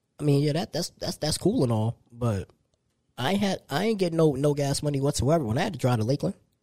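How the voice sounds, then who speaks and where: A man talks at a very fast pace in a fairly high pitch with lively intonation. His tone is dark, mellow and somewhat breathy, with a dry, close sound and no echo. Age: 30s. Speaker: podcast co-host. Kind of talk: casual chat.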